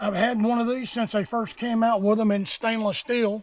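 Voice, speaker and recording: A man talks at a moderate pace with a high pitch. His intonation stays fairly even. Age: 60s. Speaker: outdoor gear reviewer, Marine Corps veteran. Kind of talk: gear review tutorial. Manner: casual, conversational.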